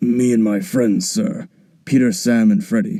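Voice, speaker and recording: A man puts on a raspy character voice at medium pitch. He moves at a moderate pace with very wide pitch swings. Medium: machinima. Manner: polite, addresses elder as sir.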